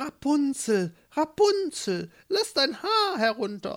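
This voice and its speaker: In a put-on character voice, a woman speaks very slowly at a high pitch with very wide pitch swings. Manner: disguised voice, calling up to a tower.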